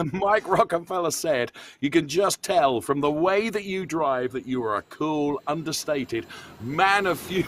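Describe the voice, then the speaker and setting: Moving at a fairly slow pace, a man speaks with a fairly high pitch and lively intonation. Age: 60s. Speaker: motorsport commentator. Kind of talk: live commentary wrap-up interview. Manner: animated.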